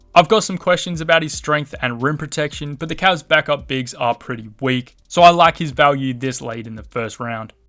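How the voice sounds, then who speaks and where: With music in the background, a man with a fairly high pitch talks at a moderate pace with hardly any pauses, ordinary pitch variation and big swings in loudness. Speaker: basketball draft analyst YouTuber. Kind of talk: solo video commentary.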